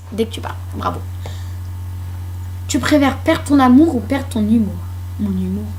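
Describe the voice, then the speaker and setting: Delivered at a moderate pace with big swings in loudness and long, frequent pauses, the speech sits in audible room echo with noticeable background noise. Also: woman, very deep, low pitch for a woman. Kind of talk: casual chat. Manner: animated.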